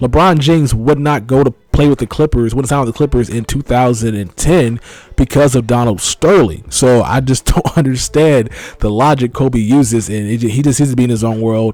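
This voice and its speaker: With an American accent, a man speaks at a fairly quick pace in an unremarkable speaking voice. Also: medium pitch for a man, ordinary pitch variation. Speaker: gaming YouTuber. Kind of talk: casual vlog commentary.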